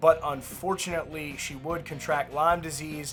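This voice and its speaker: Medium-paced speech from a man over background music. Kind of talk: entertainment news narration.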